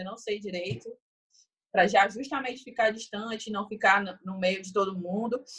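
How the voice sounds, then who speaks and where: A woman speaks at a moderate pace in an ordinary speaking voice. Her pitch is fairly high and her intonation fairly even. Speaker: Olympic beach volleyball player. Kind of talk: interview.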